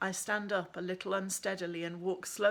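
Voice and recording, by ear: The intonation stays fairly even as this person reads aloud in a natural voice.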